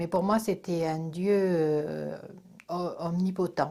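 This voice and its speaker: A woman speaks at a very slow pace with a dark, mellow tone. Her pitch is fairly low and her intonation fairly even. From Corsica, France. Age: 60s. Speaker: religious convert. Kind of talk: testimony. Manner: hesitant, many filler sounds.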